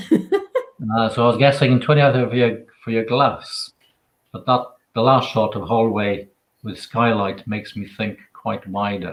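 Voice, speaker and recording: This man has a Welsh accent and a medium pitch. He talks at a fairly slow pace with ordinary pitch variation. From Wales. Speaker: author and photographer. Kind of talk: interview answer.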